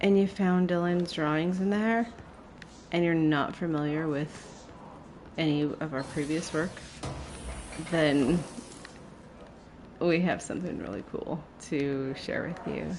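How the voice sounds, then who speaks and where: Soft-spoken and fairly low-pitched, a woman talks with long, frequent pauses amid audible room echo. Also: ordinary pitch variation, fairly slow pace. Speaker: gaming streamer. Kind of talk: live gameplay commentary. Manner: halting, filler-heavy; quiet, soft-spoken.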